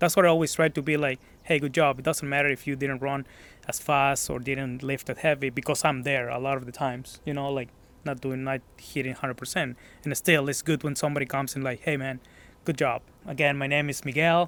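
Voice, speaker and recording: In a Mexican accent, a man delivers monotone, flat intonation at a fairly quick pace and a fairly high pitch. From Mexico, Guadalajara. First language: Spanish. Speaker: gym member. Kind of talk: casual interview. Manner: hesitant.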